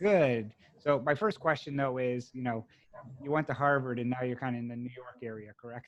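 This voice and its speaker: This man has a slight Boston accent and talks at a fairly quick pace. His loudness swings widely, while his pitch varies in an ordinary way. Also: medium pitch for a man. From Massachusetts, US. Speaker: podcast host, note investor. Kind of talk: interview.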